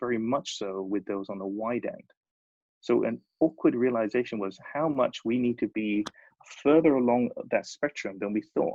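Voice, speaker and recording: Talking at a fairly quick pace, a man with a British accent uses a medium pitch and ordinary pitch variation. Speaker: design studio leader. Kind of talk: presentation.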